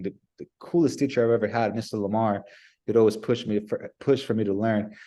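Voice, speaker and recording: Fairly quick and fairly even in intonation, a man with a Spanish accent speaks at a medium pitch in a dark, mellow tone. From Nicaragua. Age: 30s. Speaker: business development professional. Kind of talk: interview. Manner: halting with repetitions.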